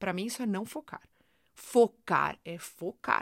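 A woman speaks in an animated tone with ordinary pitch variation. The sound is dry and close with no echo, in a very clean recording with a silent background. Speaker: podcast host, self-help coach. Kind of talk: motivational monologue.

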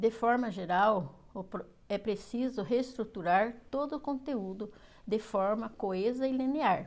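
A very slow-paced woman's voice, fairly high in pitch. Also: ordinary pitch variation. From Paraná, Brazil. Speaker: student teacher giving course presentation. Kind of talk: reading aloud. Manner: halting.

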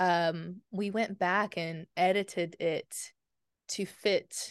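A woman with an American accent at medium pitch, ordinary pitch variation and a quiet background. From small-town Oklahoma. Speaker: novelist. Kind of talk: casual interview chat.

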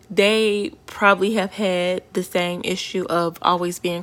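A woman's medium-pitched voice in a flat monotone, with noticeable background noise. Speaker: podcast host, spiritual practitioner. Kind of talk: casual solo podcast monologue.

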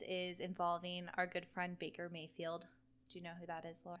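Hers is an unremarkable speaking voice, a woman with an American accent at a medium pitch and a fairly quick pace. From US East Coast. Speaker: podcast co-host. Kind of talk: casual chat. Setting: sitting at a table. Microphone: laptop recording.

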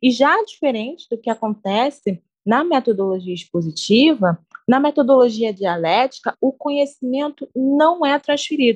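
This woman's voice is high-pitched and makes very wide pitch swings. She talks at a moderate pace, and the sound is dry and close with no echo. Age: 20s. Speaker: pedagogy student, podcast co-host. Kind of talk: semi-scripted educational podcast discussion.

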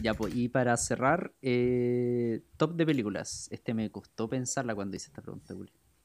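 A man in a Chilean accent, medium in pitch with ordinary pitch variation, speaks with hardly any pauses. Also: moderate pace. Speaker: podcast host. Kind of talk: casual chat.

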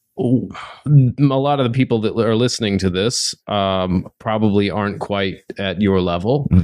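Against a quiet background, a man with an unremarkable speaking voice talks at a moderate pace, his fairly low pitch showing ordinary variation. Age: 30s. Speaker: podcast host. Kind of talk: casual interview chat.

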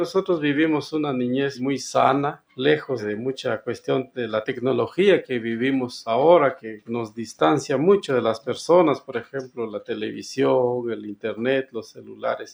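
At a fairly slow pace with hardly any pauses, a man talks at a medium pitch with ordinary pitch variation. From Guatemala, Sacatepéquez. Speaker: community radio founder, farmer. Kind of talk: interview testimony.

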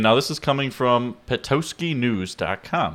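In a very clean recording with a silent background, a man with an American accent talks at a medium pitch. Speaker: podcast co-host. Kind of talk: casual chat.

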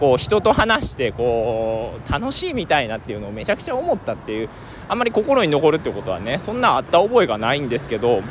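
Talking at a very fast pace over noticeable background noise, a man with a fairly high pitch swings very widely in pitch. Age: 20s. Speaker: travel podcaster. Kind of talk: casual monologue. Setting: outdoors.

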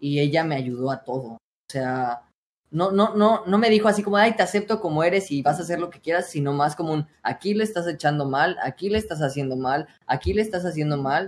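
In an ordinary speaking voice, a man talks at a fairly quick pace. His pitch is fairly high and his intonation is lively. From Mexico, State of Mexico. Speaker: streamer and voice coach. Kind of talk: casual interview.

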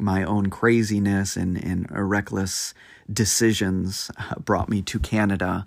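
Speaking very slowly, a man holds a fairly low pitch with monotone, flat intonation. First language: Spanish. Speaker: podcast host, military veteran. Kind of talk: motivational monologue.

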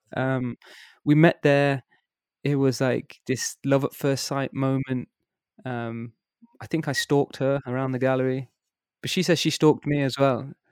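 A man with a West Midlands accent, medium pitch, monotone, flat intonation, moderate pace, long, frequent pauses, and a dry, close sound with no echo. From England, Worcester. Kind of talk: casual interview.

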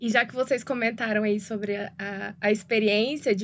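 Speaking with a slight Goiás accent, a woman talks at a fairly slow pace with fairly high pitch and ordinary pitch variation against a quiet background. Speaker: podcast host. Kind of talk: interview hosting.

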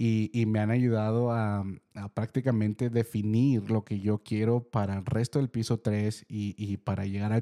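A man's fairly low, dark, mellow voice at a fairly slow pace, monotone and flat, dry and close with no echo on a very clean recording with a silent background. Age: 30s. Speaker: podcast host. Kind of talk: solo reflective monologue. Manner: hesitant, many fillers and repeated words.

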